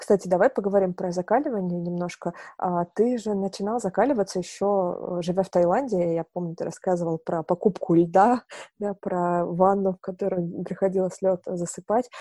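Heard in a dry, close sound with no echo over a quiet background, a woman uses an ordinary speaking voice at a moderate pace, medium in pitch, with fairly even intonation. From Novorossiysk, southern Russia. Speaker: podcast interviewer. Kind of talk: interview, conversational.

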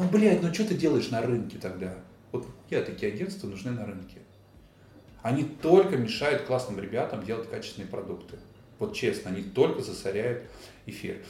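A man's somewhat breathy voice, dark and mellow in tone and medium in pitch, moves at a moderate pace with very wide pitch swings and long, frequent pauses, with audible room echo. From Russia, Vladimir region (Kolchugino). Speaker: event sales director. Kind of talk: casual interview. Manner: animated.

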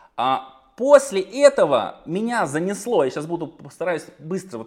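A man's pitch swings very widely as he speaks fairly slowly. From Russia, Saratov. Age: 30s. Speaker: entrepreneur. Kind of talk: podcast interview. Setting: video call.

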